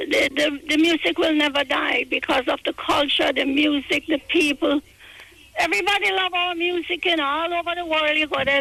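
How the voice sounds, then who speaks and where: A woman's raised, projected, high-pitched voice amid noticeable background noise. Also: ordinary pitch variation, moderate pace. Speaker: reggae record label veteran and author. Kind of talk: interview. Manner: halting.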